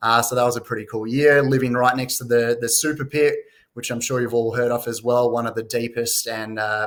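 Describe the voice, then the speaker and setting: Speaking fairly quickly with an Australian accent, a man with a medium-pitched voice keeps a monotone, flat intonation. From Western Australia, Perth. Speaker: mining company CEO. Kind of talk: investor presentation. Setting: live online conference. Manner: frequent fillers (uh, um).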